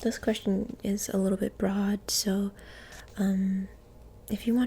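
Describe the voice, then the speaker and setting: Soft-spoken delivery unfolds at a fairly slow pace. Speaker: ASMR creator. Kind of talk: ASMR roleplay, interviewer asking questions.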